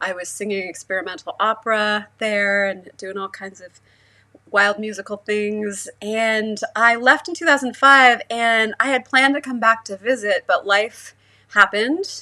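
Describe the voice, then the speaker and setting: In a fairly high pitch with ordinary variation, a woman talks at a fairly slow pace. Her tone is bright and sharp, with big swings in loudness. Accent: American. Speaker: sound artist and musician. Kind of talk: casual livestream chat. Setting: livestream.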